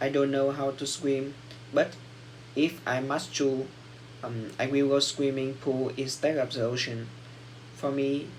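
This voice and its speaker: Noticeable background noise and audible room echo around fairly slow speech. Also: man. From Vietnam. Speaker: English learner. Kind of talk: speaking exam practice. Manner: halting.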